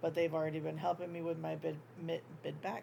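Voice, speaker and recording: A woman speaks with a very deep, low pitch. Her tone is dark and mellow, somewhat breathy. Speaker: crochet YouTuber. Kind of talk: casual chat. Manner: filler-heavy, um.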